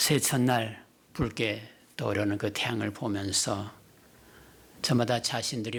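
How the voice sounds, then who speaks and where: A somewhat breathy man at a fairly slow pace. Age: 60s. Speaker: retired pastor, guest preacher. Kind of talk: sermon. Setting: church.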